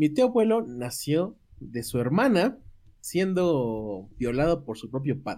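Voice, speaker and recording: Very slowly, a man speaks in a dark, mellow tone. His pitch swings very widely. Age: 20s. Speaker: podcast co-host. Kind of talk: casual chat.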